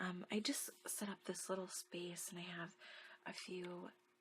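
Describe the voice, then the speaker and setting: Soft-spoken, a woman talks at a fairly slow pace with a medium pitch and monotone, flat intonation. Noticeable background noise runs behind her. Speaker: ASMR video maker. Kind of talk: casual talk to camera.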